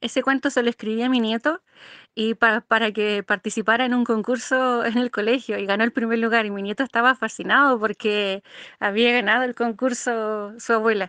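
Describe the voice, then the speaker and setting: Fairly high in pitch, a woman speaks at a fairly quick pace in a monotone, flat intonation with a bright, sharp tone. The sound is dry and close with no echo, over a quiet background. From Chile. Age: 50s. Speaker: amateur poet. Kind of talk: interview. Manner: halting.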